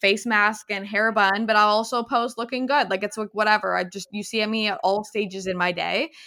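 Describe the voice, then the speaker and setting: A woman speaks in an unremarkable speaking voice at a fairly high pitch. Her pace is moderate, with ordinary pitch variation. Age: 20s. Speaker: podcast host. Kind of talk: casual chat.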